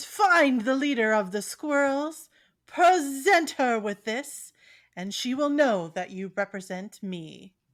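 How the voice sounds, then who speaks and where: A woman uses a put-on character voice at a high pitch. The recording is very clean, with a silent background. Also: fairly slow pace. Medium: actual play. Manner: formal, commanding.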